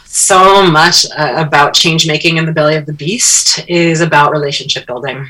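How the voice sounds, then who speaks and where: Over noticeable background noise, a woman with a very deep, low pitch talks at a moderate pace with fairly even intonation. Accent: American. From upstate New York. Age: 40s. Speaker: social designer and educator. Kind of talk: radio interview.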